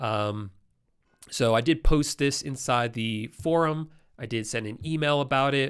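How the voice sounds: In a very clean recording with a silent background, a nasal voice with a fairly bright, clear, smooth tone shows ordinary pitch variation. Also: man.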